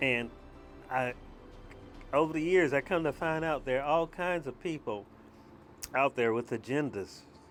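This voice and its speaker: Music plays in the background while a man talks with long, frequent pauses. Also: fairly high pitch for a man, ordinary pitch variation, moderate pace. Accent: Southern US. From US South. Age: 60s. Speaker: video blogger. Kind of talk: personal monologue. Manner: halting.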